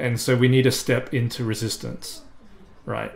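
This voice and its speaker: Somewhat breathy and fairly even in intonation, a man speaks at a moderate pace with an Australian accent. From South Australia. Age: 30s. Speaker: climate activist. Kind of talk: interview monologue. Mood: earnest, firm conviction. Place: home room.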